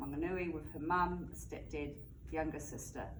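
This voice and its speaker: A woman keeps a moderate pace, and her voice echoes audibly off the room. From England, Bristol. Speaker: student presenter. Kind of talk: reading aloud; class presentation. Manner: halting.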